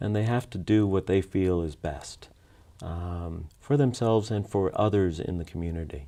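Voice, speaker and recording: Over a quiet background, a man speaks at a moderate pace in a very deep, low, dark and mellow voice with ordinary pitch variation. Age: 60s. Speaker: food bank executive director. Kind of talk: interview. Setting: studio. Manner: halting.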